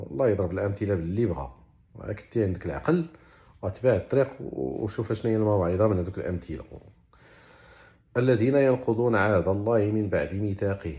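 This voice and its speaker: Speaking with a Moroccan accent, a man uses a fairly low pitch and lively intonation. His voice is somewhat breathy and his pace is moderate. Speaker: Quran explainer. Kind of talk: religious explanation in colloquial dialect. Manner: casual, conversational.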